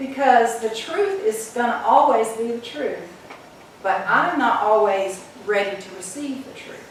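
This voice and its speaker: A woman with a fairly high pitch talks at a fairly slow pace, her intonation lively and her loudness swinging widely. Audible room echo and noticeable background noise surround her voice. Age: 70s. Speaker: guest speaker at a church. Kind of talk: sermon. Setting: church.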